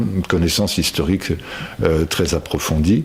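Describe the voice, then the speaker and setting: A man speaks with ordinary pitch variation. Noticeable background noise runs beneath him. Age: 60s. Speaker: local political candidate. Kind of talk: personal testimony. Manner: hesitant, many fillers.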